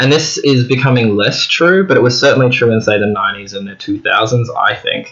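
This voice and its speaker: With noticeable noise behind him, a man in an Australian accent talks at a fairly quick pace. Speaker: book vlogger. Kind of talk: casual monologue to camera. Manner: halting, with fillers.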